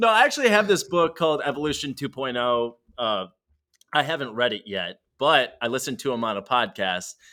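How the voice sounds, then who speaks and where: The recording is very clean, with a silent background. A man with a bright, sharp tone talks at a fairly quick pace, his pitch swinging very widely. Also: fairly high pitch for a man. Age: 20s. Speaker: sales executive. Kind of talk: casual interview chat.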